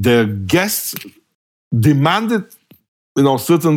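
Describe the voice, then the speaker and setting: A man talks with a Bulgarian accent. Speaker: hospitality technology professor. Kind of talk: interview.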